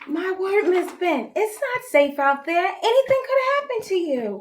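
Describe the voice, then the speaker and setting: Putting on a squeaky character voice, a woman speaks at a moderate pace in an extremely high pitch with very wide pitch swings. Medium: stage play.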